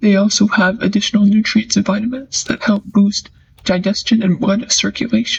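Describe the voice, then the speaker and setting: The speaker goes at a moderate pace against noticeable background noise. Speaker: backyard chicken keeper. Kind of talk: casual comedic vlog narration. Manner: inconsistent, hard to understand.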